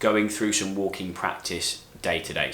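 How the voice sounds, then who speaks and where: With a British accent, a man speaks at a moderate pace in a fairly low voice, and the room echo is audible. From UK. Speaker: physiotherapist. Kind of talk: tutorial. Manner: clear, explanatory.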